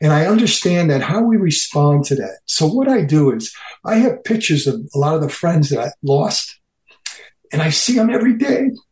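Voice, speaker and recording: A man's fairly high voice swings very widely in pitch as he talks at a moderate pace. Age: 60s. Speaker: former bodybuilding training partner. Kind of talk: casual interview chat. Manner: animated.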